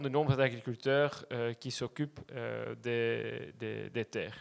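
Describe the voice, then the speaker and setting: At a fairly slow pace, a man with a Flemish accent speaks with fairly even intonation in a very clean recording with a silent background. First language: Dutch (speaking French). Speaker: land access cooperative representative. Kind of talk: presentation talk. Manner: hesitant, many fillers.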